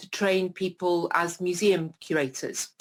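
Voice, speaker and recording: Against a silent background in a very clean recording, a woman with a British accent speaks at a moderate pace in a fairly low pitch. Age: 60s. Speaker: retired professor living with MS. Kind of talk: interview. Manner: hesitant with many fillers.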